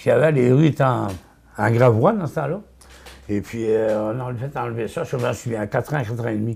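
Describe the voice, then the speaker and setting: This man's voice is somewhat breathy and medium in pitch, with ordinary pitch variation. He leaves long, frequent pauses. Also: fairly quick pace. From Quebec, Côte-de-Beaupré. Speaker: local elder. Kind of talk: oral history interview. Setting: at home. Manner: hesitant, many fillers.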